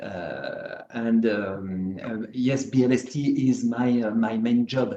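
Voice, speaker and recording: A man's very slow speech in a French accent. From France. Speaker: slot car track builder. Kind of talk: video call chat. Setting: video call. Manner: halting, many fillers.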